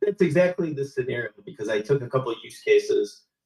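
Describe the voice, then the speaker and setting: The speaker moves at a fairly quick pace with lively intonation and a somewhat breathy voice. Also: man. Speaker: automotive marketing consultant. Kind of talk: live panel discussion. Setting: live stream. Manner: animated.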